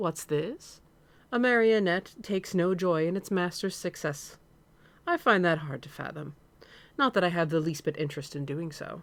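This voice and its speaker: A man puts on a drawling character voice with a high pitch, ordinary pitch variation and a moderate pace, in a very clean recording with a silent background. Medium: read story. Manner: lilting, mocking drawl.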